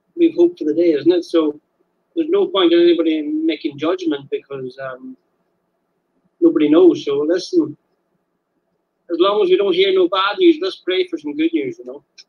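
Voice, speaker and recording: With an Irish accent, a man speaks at a moderate pace and leaves long, frequent pauses. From Ireland, Donegal. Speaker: caller. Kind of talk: casual chat. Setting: phone call.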